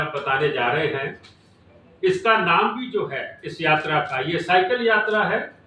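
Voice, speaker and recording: The voice belongs to a man. Audible echo from the room lingers around it. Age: 60s. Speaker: cycling federation official. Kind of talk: press conference.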